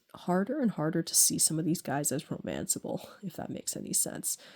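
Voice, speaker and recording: At a moderate pace, a woman speaks in a fairly low pitch with a dark, mellow tone, the sound dry and close with no echo. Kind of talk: casual gameplay commentary to camera. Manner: hesitant, many fillers.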